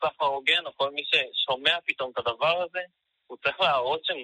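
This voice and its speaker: A man is speaking. His pitch varies an ordinary amount. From Israel, Haifa. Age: 20s. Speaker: fair trade activist. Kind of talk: interview.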